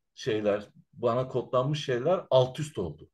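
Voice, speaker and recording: Against a quiet background, a man speaks fairly slowly in a somewhat breathy voice at a medium pitch with ordinary pitch variation. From Turkey, Izmir (from age 5, born in Central Anatolia). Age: 40s. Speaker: Roma researcher and activist. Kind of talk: interview. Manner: hesitant, many filler sounds.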